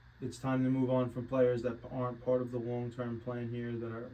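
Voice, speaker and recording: A medium-pitched man's voice in monotone, flat intonation, with audible room echo. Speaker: sports betting podcast host. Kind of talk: casual chat. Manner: mumbling, not enunciating.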